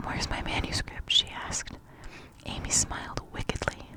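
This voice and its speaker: The speaker whispers at a moderate pace. Noticeable background noise runs underneath. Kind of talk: ASMR whispered storybook reading. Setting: close-up microphone, page turning. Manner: whispered, soft-spoken.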